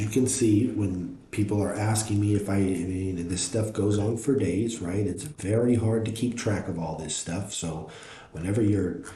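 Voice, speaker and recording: Audible room echo and noticeable background noise surround a man speaking at a moderate pace. His pitch is fairly low, with ordinary variation. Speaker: NFT art reviewer, live streamer. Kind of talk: live stream art review, reading chat. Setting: live stream. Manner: loud, self-described; casual, filler-heavy with repetitions.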